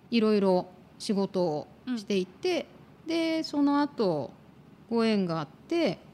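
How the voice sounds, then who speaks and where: Her fairly high voice has a dark, mellow tone and very wide pitch swings as the woman talks at a very slow pace with long, frequent pauses. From Tokyo, Japan. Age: 50s. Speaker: career consultant and podcast co-host. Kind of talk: casual interview chat.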